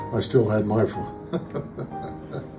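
Clear music plays in the background while a man with an American accent speaks at a medium pitch. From Pennsylvania, USA. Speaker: amateur painter; military veteran. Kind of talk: interview answer. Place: home room.

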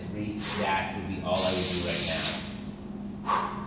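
Loud background noise runs through the clip. There is audible room echo as well. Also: man. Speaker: personal trainer. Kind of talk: coaching instructions. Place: gym. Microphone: camera far.

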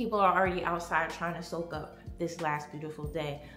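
Music plays in the background as someone speaks at a moderate pace with audible room echo. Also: woman. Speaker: home decor vlogger. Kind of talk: casual vlog chat. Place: home room. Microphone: phone near.

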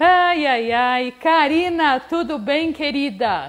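A woman speaks with ordinary pitch variation. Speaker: host of a livestream talk show. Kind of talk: casual live-stream chat. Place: home room. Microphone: lapel.

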